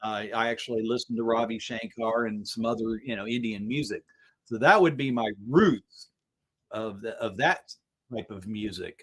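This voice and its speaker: A man speaks at a medium pitch and moderate pace with ordinary pitch variation. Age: 60s. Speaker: guitarist and instrument builder. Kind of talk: casual chat. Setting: live stream. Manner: halting.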